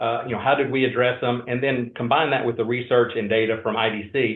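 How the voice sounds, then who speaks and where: A man talks at a very fast pace in a Georgia accent. His pitch is medium. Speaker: industry research analyst. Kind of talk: webinar presentation.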